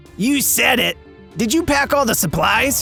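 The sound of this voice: A man performs a cartoonish character voice at an extremely high pitch, with lively intonation. He keeps a moderate pace, with clear music in the background.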